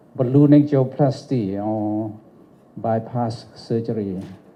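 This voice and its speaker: In a room with audible echo, a man's medium-pitched voice shows ordinary pitch variation. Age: 70s. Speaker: doctor giving an award speech. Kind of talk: lecture.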